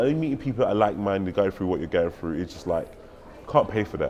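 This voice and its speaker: At a very fast pace, a man in a London accent speaks with lively intonation. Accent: noticeable London. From London, England. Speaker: tech sales professional and conference speaker. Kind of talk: interview. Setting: conference venue.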